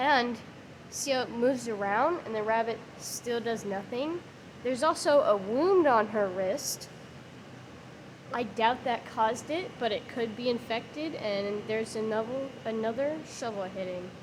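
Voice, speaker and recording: Fairly slow female speech with noticeable background noise and audible room echo. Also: fairly high pitch for a woman, ordinary pitch variation. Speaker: YouTuber reviewing animal abuse videos. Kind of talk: video commentary. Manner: sarcastic.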